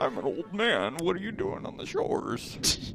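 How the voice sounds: A man performs a put-on character voice at a moderate pace. Loud background noise sits under him.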